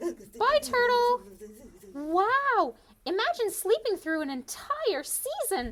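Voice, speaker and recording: A cartoonish character voice at an extremely high pitch, with very wide pitch swings and a very slow pace. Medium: puppet.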